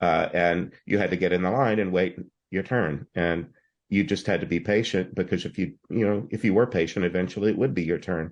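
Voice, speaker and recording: Against a quiet background, a man speaks at a fairly quick pace in a very deep, low pitch with ordinary pitch variation. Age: 60s. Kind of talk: interview about spiritual experiences. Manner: halting, with frequent repetitions.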